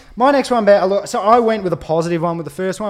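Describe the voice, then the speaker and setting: A man with an Australian accent speaks at a very fast pace. His tone is animated and his intonation lively. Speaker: podcast co-host, football fan. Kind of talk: casual chat, banter. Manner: animated, loud.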